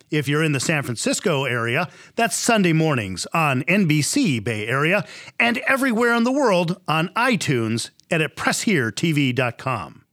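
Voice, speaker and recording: In a very clean recording with a silent background, a man with a fairly high pitch, a bright, sharp tone and very even loudness speaks at a moderate pace with very wide pitch swings. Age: 50s. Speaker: TV interviewer. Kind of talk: scripted outro; interview.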